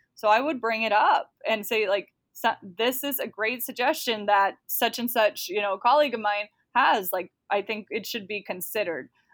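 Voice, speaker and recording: At a fairly quick pace, a woman with an unremarkable speaking voice talks at a fairly high pitch with ordinary pitch variation, on a very clean recording with a silent background. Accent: American. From Texas, Dallas-Fort Worth area. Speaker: bilingual educator. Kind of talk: interview.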